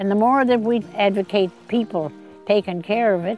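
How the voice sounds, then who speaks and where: Faint music sits in the background. Over it, a woman talks with ordinary pitch variation. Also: dry sound with no echo. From New Brunswick, Canada. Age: 80s+. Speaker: land donor interviewee. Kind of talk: interview answer. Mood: earnest, heartfelt. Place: garden. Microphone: lapel.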